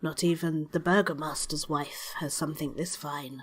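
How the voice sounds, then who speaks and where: A woman does a put-on character voice, very deep and low in pitch, flat and monotone, at a moderate pace. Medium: actual play. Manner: terse, businesslike.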